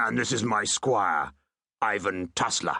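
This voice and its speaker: Putting on a growling character voice, a man speaks fairly slowly at a fairly low pitch. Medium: read story. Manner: pompous, oily.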